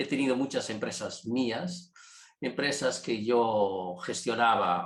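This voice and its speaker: This man talks at a fairly slow speed. His voice has a medium pitch. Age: 70s. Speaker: family constellations facilitator, engineer. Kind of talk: online workshop talk. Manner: halting, many fillers and repetitions.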